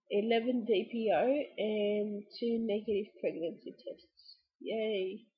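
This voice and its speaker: Her fairly high voice somewhat breathy, a woman speaks with ordinary pitch variation. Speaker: vlogger. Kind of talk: vlog update. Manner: hesitant, with fillers.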